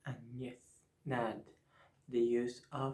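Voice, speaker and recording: A man's medium-pitched voice with a Spanish accent, a dark, mellow tone and fairly even intonation. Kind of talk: ASMR talk about teaching English. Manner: whispered, soft-spoken.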